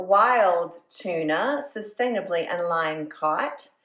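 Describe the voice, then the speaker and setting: This woman talks with a Southern US accent. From US South. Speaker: food and lifestyle vlogger. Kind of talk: casual vlog talk to camera.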